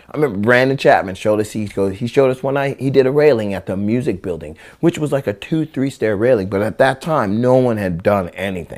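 Talking at a very fast pace with hardly any pauses, a man with an American accent uses lively intonation at a medium pitch, in a very clean recording with a silent background. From Central California (Visalia). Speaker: skateboarder and rapper. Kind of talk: casual interview chat. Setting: at his own house. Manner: animated, laughing often.

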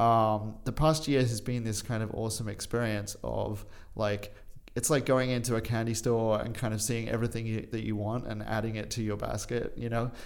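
Flat, monotone delivery at a moderate pace, with audible room echo. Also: man, medium pitch for a man. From England and Australia, British parents. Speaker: urban farm founder. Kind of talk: interview. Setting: studio.

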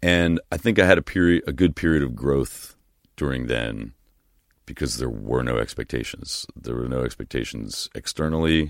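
A man with an American accent speaks at a moderate pace in a very deep, low pitch with lively intonation, on a very clean recording with a silent background and a dry, close sound with no echo. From US Northeast, New Jersey. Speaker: singer-songwriter. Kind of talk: casual chat. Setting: studio.

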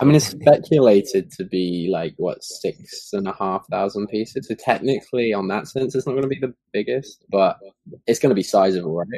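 A man with a British accent, medium in pitch, at a moderate pace, with lively intonation and a dark, mellow tone. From UK. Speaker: guest. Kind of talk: casual chat. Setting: video call.

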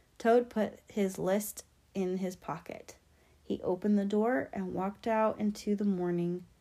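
The intonation stays fairly even throughout this plain reading aloud.

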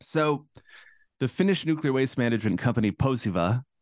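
Speaking at a fairly quick pace, a man uses a plain, everyday voice with ordinary pitch variation and a dry, close sound with no echo. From central Massachusetts, US. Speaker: cultural anthropologist and author. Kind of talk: interview.

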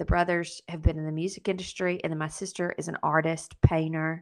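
In a quiet background, a woman talks with a Southern US accent at a fairly low pitch. Her intonation is monotone and flat, while her loudness swings widely. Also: hardly any pauses. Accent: Southern US, noticeable twang. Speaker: podcast co-host. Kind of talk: casual interview chat.

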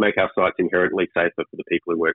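A man is speaking. His pitch is very deep and low. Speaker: mining company data and technology executive. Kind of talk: interview. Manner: halting, many fillers.

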